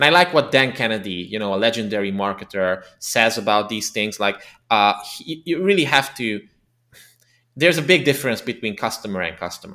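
Speaking with a Hungarian accent, a man at a medium pitch talks at a fairly quick pace with lively intonation on a very clean recording with a silent background. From Transylvania, Romania (ethnic Hungarian). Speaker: copywriter and marketing consultant. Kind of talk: interview. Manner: halting, many fillers.

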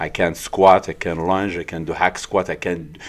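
Very deep and low in pitch, a man's voice comes through with a French accent. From France (born in Morocco). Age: 40s. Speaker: bodybuilder and gym owner. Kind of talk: casual interview. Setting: studio.

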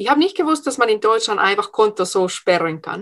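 Her pitch swings very widely as she talks. This woman speaks with a Finnish accent against a quiet background. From Finland. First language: Finnish (speaking German). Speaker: entrepreneur and speech coach. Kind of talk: interview.

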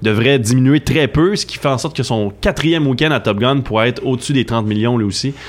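The speaker has a Quebec accent and a fairly quick pace. Pitch varies in an ordinary way. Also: man. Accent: Québécois French. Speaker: film columnist. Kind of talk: radio chronicle, casual chat.

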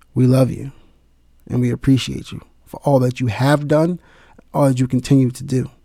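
Pausing long and often, a man at medium pitch speaks at a moderate pace in a dark, mellow tone, his intonation monotone and flat while his loudness swings widely. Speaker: spoken word poet. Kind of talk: spoken word poem, dedicated tribute with a short spoken intro. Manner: impassioned, earnest, heartfelt; emphatic, rhythmic, with rhyming cadence.

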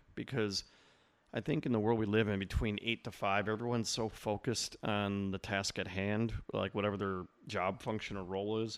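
A man with an American accent talks at a moderate pace with fairly even intonation. His pitch is fairly low, and the background is quiet. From Chicago suburbs. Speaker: entrepreneur, networking event organizer. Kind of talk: casual interview chat.

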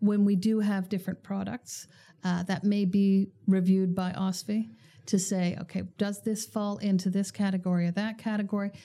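Somewhat breathy and dark, mellow in tone, a woman speaks at a medium pitch and moderate pace with monotone, flat intonation. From Canada. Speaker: bank executive. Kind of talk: interview.

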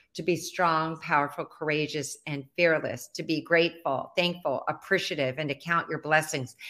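In a very clean recording with a silent background, a woman with a normal speaking voice speaks at a fairly low pitch. Her pace is moderate, with hardly any pauses and fairly even intonation. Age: 60s. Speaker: visibility expert and speaker. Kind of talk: casual interview. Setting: live video stream.

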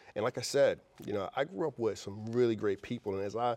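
A man's dark, mellow voice in a New York accent, at a fairly quick pace, dry and close with no echo over a quiet background. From New York City (Queens). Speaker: wealth advisor and firm founder. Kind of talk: interview.

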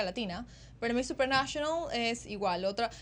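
A woman with an unremarkable speaking voice and fairly high pitch, at a fairly quick pace. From Ecuador. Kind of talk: interview.

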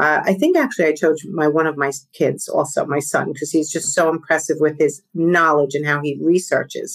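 A woman with a New York accent speaks at a very deep, low pitch. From East Coast, New York tri-state area. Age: 50s. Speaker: podcast guest, business coach.

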